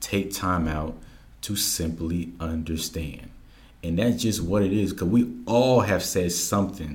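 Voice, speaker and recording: There is audible room echo as a man speaks in a somewhat breathy voice at a very deep, low pitch and a fairly slow pace. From Georgia, US (military upbringing). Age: young. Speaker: community educator and workshop facilitator. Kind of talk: interview conversation.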